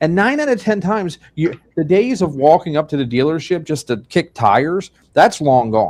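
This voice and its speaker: With a Pennsylvania accent, the speaker's pitch swings very widely against a quiet background. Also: man, fairly high pitch for a man, moderate pace. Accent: Pennsylvania accent, lilting. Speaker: funeral director and show host. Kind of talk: video podcast conversation.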